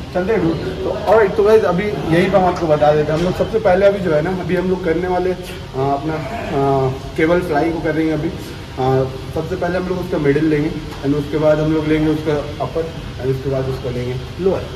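A man speaks at a moderate pace with ordinary pitch variation. Noticeable noise runs in the background. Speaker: fitness vlogger. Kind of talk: casual vlog chat. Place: gym. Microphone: phone near.

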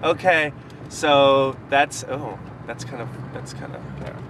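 A man's voice comes with a dry sound with no echo and noticeable background noise. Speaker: passenger vlogger. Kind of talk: casual vlog chat. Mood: cheerful, playful. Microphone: phone near.

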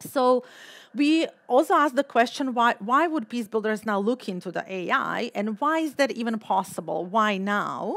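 A woman with a Balkan accent speaks at a moderate pace in a fairly high pitch, her intonation lively against a quiet background. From Balkans. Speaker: political scientist and keynote speaker; keynote speaker. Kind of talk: keynote lecture. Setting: stage with audience. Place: hall. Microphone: podium.

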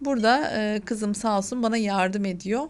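In a quiet background, a woman speaks. Her voice sits fairly high. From Hatay, southern Turkey. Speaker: cooking channel host. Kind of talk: cooking tutorial.

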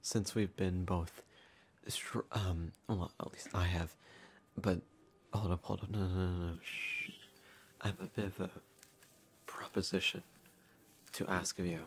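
A soft-spoken voice goes at a fairly slow pace with long, frequent pauses over light background noise. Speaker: character voice narrator. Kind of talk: casual roleplay chat to listener. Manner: soft, close ASMR roleplay voice.

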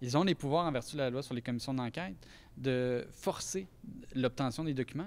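Ordinary pitch variation from a man. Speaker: lawyer. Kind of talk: interview statement. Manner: hesitant. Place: hall. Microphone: handheld.

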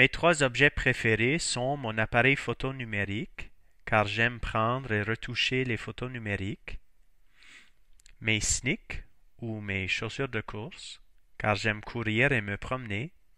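On a very clean recording with a silent background, a man with a medium-pitched, bright, sharp tone speaks at a very slow pace with ordinary pitch variation and long, frequent pauses. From northern Maine, US (Fort Kent, St. John Valley). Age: 40s. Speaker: high school French teacher. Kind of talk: self-introduction.

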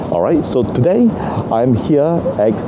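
There is noticeable background noise behind the speaker. A man talks at a moderate pace. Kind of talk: casual vlog chat. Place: street. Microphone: phone near.

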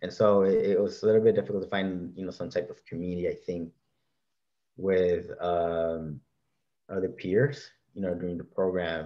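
A man's very deep, low voice with ordinary pitch variation, moderate pace and long, frequent pauses, against a quiet background. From Los Angeles. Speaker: librarian; panelist. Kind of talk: panel discussion. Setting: video call. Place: home room. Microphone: webcam.

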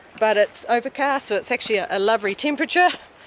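A woman speaks with lively intonation in a dry recording with no echo and light background noise. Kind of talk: casual vlog chat. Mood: cheerful. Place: forest. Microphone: phone near.

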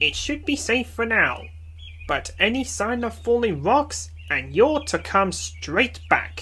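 A man talks at a fairly slow pace. Background noise is clearly audible.

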